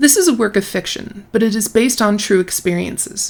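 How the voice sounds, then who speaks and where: This voice carries vocal fry and moves at a moderate pace. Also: woman. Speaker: book critic video host. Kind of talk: commentary with read-out excerpts.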